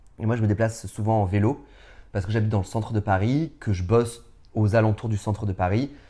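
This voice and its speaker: A man talks very fast at a fairly low pitch with fairly even intonation. The recording is very clean, with a silent background. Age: 30s. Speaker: drag performer. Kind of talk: interview. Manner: loud; hesitant, many fillers.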